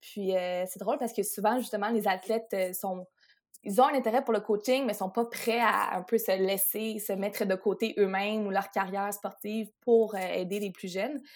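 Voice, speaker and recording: A woman speaks at a moderate pace and medium pitch, with a normal speaking voice. Her intonation is fairly even. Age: 20s. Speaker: sports lawyer and athlete agent. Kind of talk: interview.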